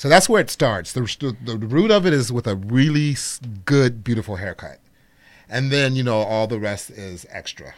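In a normal speaking voice at a moderate pace, the speaker uses lively intonation and big swings in loudness, on a very clean recording with a silent background. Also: man, medium pitch for a man. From Chicago, Illinois. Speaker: celebrity hairstylist. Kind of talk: casual chat.

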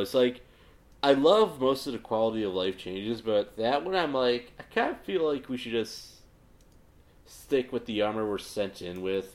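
A man with a medium-pitched voice speaks at a moderate pace. He leaves long, frequent pauses. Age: 20s. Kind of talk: casual chat.

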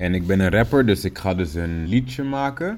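A man's very deep, low voice at a fairly slow pace. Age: 30s. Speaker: rapper and music producer. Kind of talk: recorded spoken message; casual interview.

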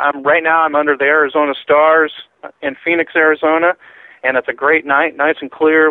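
The man has a fairly high pitch and an ordinary speaking voice, keeping a moderate pace. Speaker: UFO researcher. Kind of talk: radio interview.

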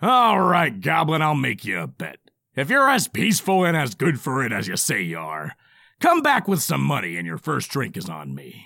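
A man's put-on character voice, gruff, raspy and bellowing, at medium pitch and a moderate pace over a very clean recording with a silent background. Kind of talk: comic audio drama acting. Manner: gruff, bellowing, mocking.

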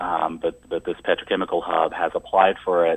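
A man's very deep, low voice in a monotone, flat delivery at a moderate pace, with an Appalachian accent. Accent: Appalachian American. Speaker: environmental organizer. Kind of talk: radio interview.

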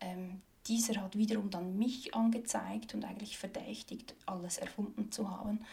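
Speaking at a moderate pace, a woman has a fairly high pitch, a dark, mellow tone, a somewhat breathy quality, and fairly even intonation. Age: 30s. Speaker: activist, former politician. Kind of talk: interview. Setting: her office. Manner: hesitant, many fillers.

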